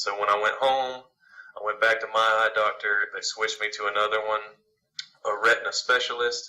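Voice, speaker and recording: This man speaks with a Southern US accent at a fairly quick pace. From Alabama, US South. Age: 20s. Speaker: singer-songwriter. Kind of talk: interview. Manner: hesitant, many fillers.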